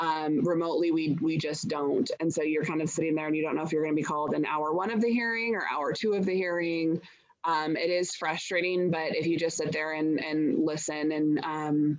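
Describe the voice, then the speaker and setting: Speaking with an American accent, a woman has a very deep, low pitch and very even loudness. She talks at a fairly quick pace with fairly even intonation and hardly any pauses. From southern Oregon, Jackson County. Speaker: farm policy lobbyist. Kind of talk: webinar tutorial. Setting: video call.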